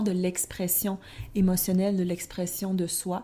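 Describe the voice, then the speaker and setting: Her tone is dark and mellow, at a medium pitch. This woman speaks at a very slow pace. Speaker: tarot podcast co-host. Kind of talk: casual podcast discussion.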